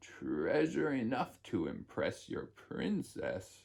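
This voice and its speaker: Very slowly, a man speaks in a put-on character voice. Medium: read story. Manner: scheming.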